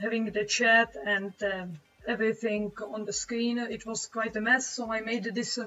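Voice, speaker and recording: With a Czech accent, a woman speaks fairly slowly in a fairly high, fairly even voice over noticeable background noise. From Czech Republic. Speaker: webcomic artist streamer. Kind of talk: live stream chat while drawing. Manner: halting, many fillers.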